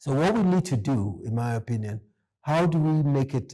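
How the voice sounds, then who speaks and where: A man's somewhat breathy voice has a dark, mellow tone. He keeps a moderate pace with ordinary pitch variation. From Ghana. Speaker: economist. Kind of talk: interview.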